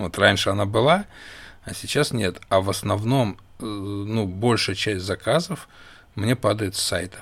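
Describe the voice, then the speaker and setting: Delivered in an ordinary speaking voice, the speech unfolds fairly slowly, its pitch varying in an ordinary way. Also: man, fairly low pitch for a man. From Russia. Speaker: podcast co-host, small business owner. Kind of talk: casual chat.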